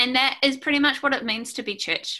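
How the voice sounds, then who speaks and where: A woman's bright, sharp tone with a New Zealand accent, at a moderate pace. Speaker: preacher. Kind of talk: sermon. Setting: video call.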